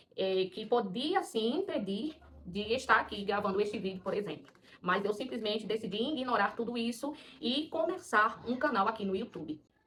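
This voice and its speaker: Over noticeable background noise, a woman with a strong Paraíba accent speaks at a moderate pace in a fairly high pitch with lively intonation. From Paraíba, northeast Brazil. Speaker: schoolteacher and mother of four, video creator. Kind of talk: personal vlog monologue. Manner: hesitant, with many fillers.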